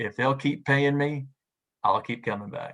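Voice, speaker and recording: A man talks in a tone that is bright and sharp. Nothing much is heard behind him. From US South, Knoxville, Tennessee. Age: 60s. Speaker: sports play-by-play radio announcer. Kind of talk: interview conversation. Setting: video call. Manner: halting, many repeated words.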